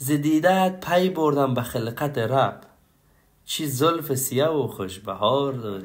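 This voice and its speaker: A man speaks at a very slow pace with lively intonation, and there is audible room echo. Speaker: poetry reciter. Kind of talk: reading aloud.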